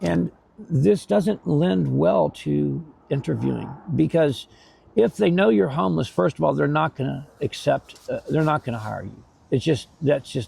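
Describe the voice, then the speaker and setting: A man's fairly low voice, dark and mellow in tone and somewhat breathy, with very wide pitch swings at a moderate pace. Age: 60s. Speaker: homeless man. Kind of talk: interview. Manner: halting, many repetitions and fillers.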